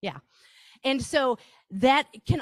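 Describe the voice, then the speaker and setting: With a Wisconsin accent, a woman speaks with very wide pitch swings. The sound is dry and close with no echo, on a very clean recording with a silent background. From Wisconsin, Reedsburg. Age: 50s. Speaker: marketing workshop presenter. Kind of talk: presentation to live audience. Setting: stage with audience, broadcast live. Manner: animated, talkative.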